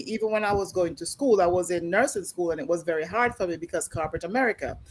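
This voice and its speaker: Lively intonation marks this woman's speech in a Jamaican accent. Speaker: talk show co-host. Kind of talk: panel discussion.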